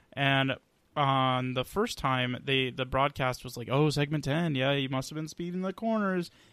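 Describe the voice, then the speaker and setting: In an American accent, a man with a normal speaking voice talks at a moderate pace, his pitch fairly high with ordinary variation. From Atlanta area, US South. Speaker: podcast co-host. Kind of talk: casual chat.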